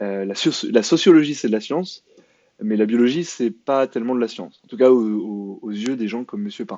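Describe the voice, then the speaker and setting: Loudness rises and falls sharply throughout. The intonation is lively and the pace fairly quick. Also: man, medium pitch for a man. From France. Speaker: YouTube commentator. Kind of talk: commentary video monologue. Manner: hesitant, many fillers and repetitions; sarcastic.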